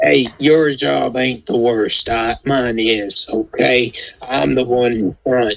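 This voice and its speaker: At a medium pitch, a man performs a put-on character voice. His delivery crawls along at a very slow pace. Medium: actual play. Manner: gruff, folksy.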